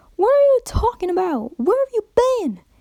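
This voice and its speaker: A woman does a squeaky, put-on character voice at an extremely high pitch and a moderate pace. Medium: read story. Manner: blunt, forceful.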